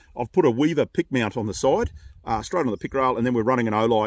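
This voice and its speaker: With an Australian accent, a man talks at a very fast pace and with lively intonation on a very clean recording with a silent background. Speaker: gun reviewer and channel host. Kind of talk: product review. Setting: outdoors at shooting range. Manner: casual, halting with fillers.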